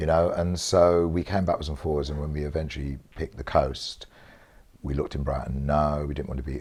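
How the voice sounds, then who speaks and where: A man's very deep, low voice in a London accent, fairly quick and fairly even in intonation, over noticeable background noise. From South East London. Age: 60s. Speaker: interviewee in community film project. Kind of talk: casual conversation.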